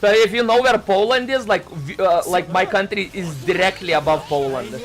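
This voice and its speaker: A high-pitched man talks with lively intonation at a moderate pace, with noticeable background noise behind him. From Lithuania. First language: Lithuanian. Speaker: vtuber streamer. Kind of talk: casual live-stream chat. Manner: halting, many fillers and restarts.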